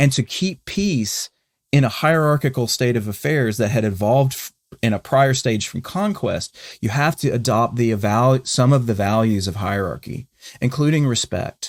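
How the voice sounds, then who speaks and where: In a very clean recording with a silent background and a dry, close sound with no echo, a man with a Southern US accent speaks at a moderate pace and a medium pitch, with lively intonation. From US South, North Carolina. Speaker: podcast co-host. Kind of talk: conversational discussion. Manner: halting, many false starts.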